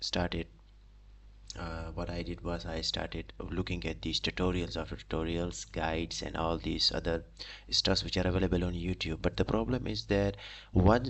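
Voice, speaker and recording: A man with a non-native accent talks at a moderate pace in a very deep, low voice with vocal fry. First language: not English. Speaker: aspiring data analyst streamer. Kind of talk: live stream self-introduction. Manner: halting, many fillers and restarts.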